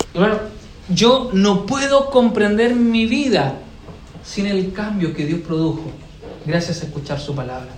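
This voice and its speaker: High-pitched man's voice with lively intonation at a fairly slow pace, with noticeable background noise and audible room echo. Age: 30s. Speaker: pastor. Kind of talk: sermon. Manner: halting, repeats words.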